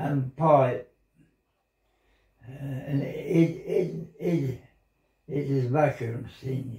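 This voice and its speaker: A man's fairly high voice with a dark, mellow tone, fairly even intonation, some breathiness, long, frequent pauses, and a very slow pace. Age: 80s+. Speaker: former miner and military veteran. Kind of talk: interview answer. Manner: reminiscing.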